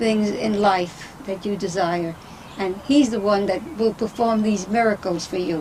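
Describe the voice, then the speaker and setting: At a fairly slow pace and medium pitch, a woman talks with ordinary pitch variation against noticeable background noise. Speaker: grandmother. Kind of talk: family interview. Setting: at home.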